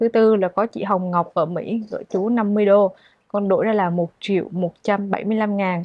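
A woman's quiet-background recording, dry with no echo, fairly slow and monotone with flat intonation. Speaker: charity vlogger interviewing people in hardship. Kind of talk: casual interview vlog. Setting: outdoors on location at a home. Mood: gentle, caring. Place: home room. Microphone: lapel.

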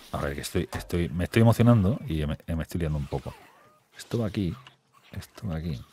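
Lively intonation and vocal fry in a dark, mellow tone, at a fairly quick pace, with a dry sound and no echo. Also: man, very deep, low pitch for a man. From Spain, small town. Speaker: gaming YouTuber. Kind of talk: casual gaming chat. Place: home room. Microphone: studio mic.

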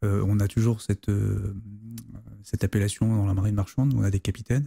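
Over a quiet background, a man with a fairly low pitch and a dark, mellow, somewhat breathy tone speaks with fairly even intonation in a dry sound with no echo. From La Rochelle, western France; France. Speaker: navy officer and history author; guest. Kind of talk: interview conversation. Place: studio. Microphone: studio mic.

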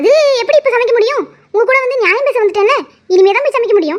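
In a cartoonish character voice, a woman squeaks out her words at an extremely high pitch and a very fast pace. Her intonation is lively and her loudness very even. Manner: blunt, grumbling.

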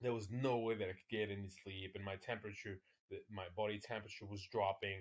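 A somewhat breathy man at fairly low pitch, monotone and flat in intonation, at a very fast pace against a quiet background. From France, Paris. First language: French. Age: 40s. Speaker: ultra-distance cyclist; podcast guest. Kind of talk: casual chat. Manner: halting. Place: home room.

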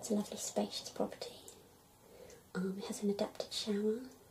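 A soft-spoken woman talks at a moderate pace. Noticeable background noise runs underneath. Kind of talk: role-play phone call with a client. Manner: soft, hushed ASMR speaking. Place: home room.

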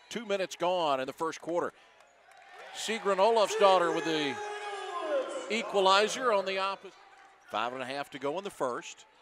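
A man speaks at a high pitch and moderate pace with lively intonation and long, frequent pauses. The sound is dry with no echo, though background noise is noticeable. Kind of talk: live sports commentary. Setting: basketball arena broadcast. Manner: rising energy on made shots. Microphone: headset.

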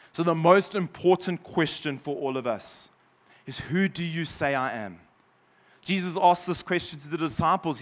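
A man with a high pitch and ordinary pitch variation speaks at a moderate pace, his loudness swinging widely. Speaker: visiting preacher. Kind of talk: sermon. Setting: church, in front of a congregation. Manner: impassioned, rising in fervor, with pauses and repeats; animated, rallies the congregation. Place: church. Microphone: handheld.

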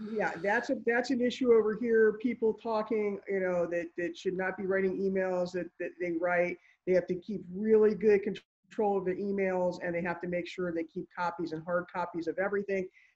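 The speaker's intonation stays fairly even against a quiet background. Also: woman. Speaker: attorney. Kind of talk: panel discussion. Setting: video call. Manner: fast. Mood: advisory, earnest. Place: office. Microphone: video call.

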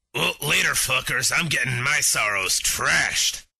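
Adopting a put-on character voice that is raspy, a man talks at a moderate pace. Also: medium pitch for a man. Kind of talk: comic overacting. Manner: crude, brash, profane, dismissive.

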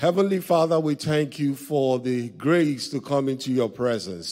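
A man speaks at a fairly slow pace with ordinary pitch variation over a quiet background. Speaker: pastor leading service. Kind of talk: prayer. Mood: reverent, earnest. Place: church. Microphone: handheld.

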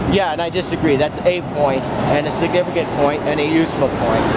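A fairly quick pace over loud background noise, the sound dry with no echo. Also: man. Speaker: interviewee. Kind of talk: interview answer. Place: street.

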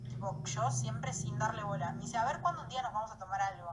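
Over noticeable background noise, a woman speaks at a fairly quick pace in a Rioplatense accent. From Argentina. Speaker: social media influencer. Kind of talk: vlog. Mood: upset, defensive. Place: home room. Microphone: phone near.

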